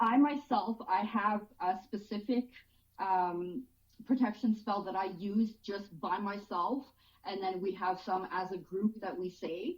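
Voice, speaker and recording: A woman talks at a fairly slow pace in a French accent. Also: medium pitch for a woman, ordinary pitch variation. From French-speaking background. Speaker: paranormal investigator. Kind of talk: casual chat. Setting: video call.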